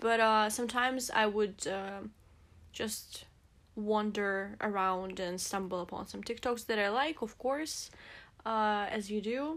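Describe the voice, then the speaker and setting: A woman speaks in a fairly slow way with a Russian accent. Her pitch sits fairly high, with ordinary variation. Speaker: podcast co-host. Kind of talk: casual chat. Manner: halting.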